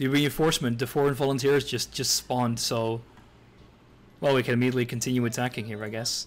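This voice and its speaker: A man's medium-pitched voice, monotone and flat, at a very fast pace. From Netherlands. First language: Dutch. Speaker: video game streamer. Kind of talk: live gameplay commentary. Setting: live stream. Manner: halting, many fillers and restarts.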